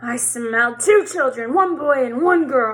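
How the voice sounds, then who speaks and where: A woman puts on a character voice, high-pitched and growling. She speaks at a fairly slow pace. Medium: read story.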